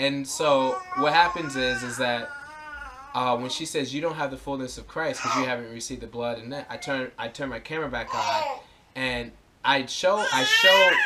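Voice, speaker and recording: Amid noticeable background noise, a man with a fairly high voice talks at a moderate pace, with ordinary pitch variation and big swings in loudness. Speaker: activist vlogger. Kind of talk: personal video explanation. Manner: halting, many repeats and fillers.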